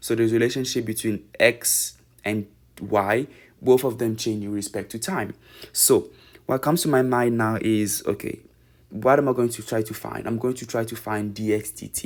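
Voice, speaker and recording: A man with a non-native accent and fairly even intonation, in a very clean recording with a silent background. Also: medium pitch for a man, moderate pace. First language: not English. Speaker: math tutor. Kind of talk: tutorial. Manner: halting.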